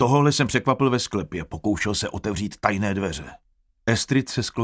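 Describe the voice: This is plain reading aloud with ordinary pitch variation over a quiet background.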